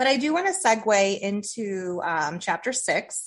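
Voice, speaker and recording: Against a quiet background, a woman with an American accent speaks in a normal speaking voice at medium pitch and a moderate pace. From Toledo, Ohio. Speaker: podcast host. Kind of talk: interview.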